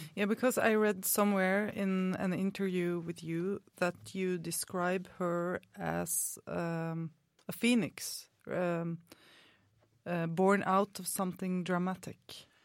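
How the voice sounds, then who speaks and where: A woman with a Norwegian accent talks at a very slow pace, her medium-pitched voice following a fairly even intonation. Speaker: student radio co-host. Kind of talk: live radio interview. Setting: studio.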